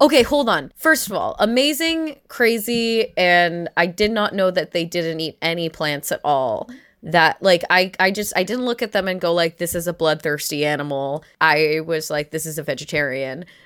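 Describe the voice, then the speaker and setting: A plain, everyday voice from a woman at a fairly low pitch, moderate pace and lively intonation, with hardly any pauses, in a very clean recording with a silent background. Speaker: stand-up comedian and podcast host. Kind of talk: casual comedic chat.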